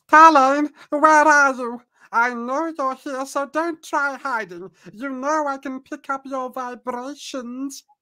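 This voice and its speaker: A female-sounding voice puts on a character voice, high-pitched and fairly slow. The recording is very clean, with a silent background. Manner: imperious, taunting.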